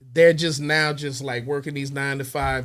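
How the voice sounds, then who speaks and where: An unremarkable speaking voice from a man, fairly high in pitch, with fairly even intonation, on a very clean recording with a silent background. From Texas, by way of Little Rock Arkansas. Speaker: music producer. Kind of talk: interview conversation. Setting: studio.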